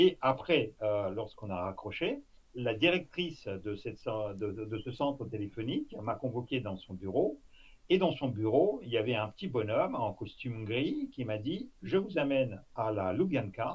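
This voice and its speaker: Speaking at a fairly slow pace with a Russian accent, a man with a medium pitch sounds somewhat breathy and uses lively intonation. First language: Russian (speaking French). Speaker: former intelligence officer. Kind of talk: interview. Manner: halting, many fillers.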